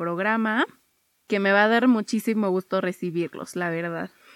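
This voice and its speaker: A woman at medium pitch speaks with ordinary pitch variation in a very clean recording, silent in the background, with a dry, close sound and no echo. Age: 20s. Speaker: podcast host, psychologist. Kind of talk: casual monologue.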